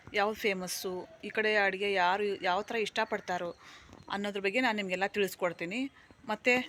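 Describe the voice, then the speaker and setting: Medium in pitch, a woman's voice holds fairly even intonation. The recording is very clean, the background silent. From North Karnataka, India (Haveri district). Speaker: vlogger and beautician. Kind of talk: channel introduction vlog.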